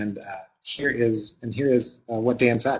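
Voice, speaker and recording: A man's somewhat breathy voice sits at medium pitch with fairly even intonation. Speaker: webinar presenter, marketing consultant. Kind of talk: webinar presentation. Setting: live webinar. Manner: fast; many fillers and hesitations.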